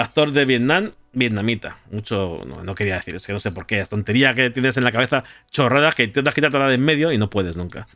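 A man with a Spanish accent at a very fast pace, bright and sharp in tone, medium in pitch, with lively intonation. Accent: Spanish (Spain). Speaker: podcast host and streamer. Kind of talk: casual chat.

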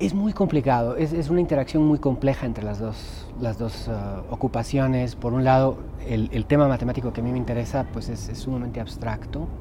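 A man rattles along fairly fast with hardly any pauses as noticeable background noise carries on. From Guatemala. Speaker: mathematician and poet. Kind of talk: interview. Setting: noisy book fair press area. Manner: halting, many repetitions.

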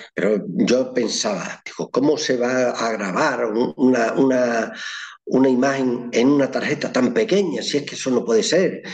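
The man's voice sits at a medium pitch with lively intonation. He talks at a moderate pace over noticeable background noise. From Extremadura, Spain (Llerena, Badajoz). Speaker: photographer. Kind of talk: interview.

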